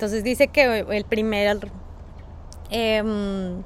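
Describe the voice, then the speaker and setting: A woman talks in a fairly high voice with monotone, flat intonation. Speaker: podcast co-host. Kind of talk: casual chat. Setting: outdoors.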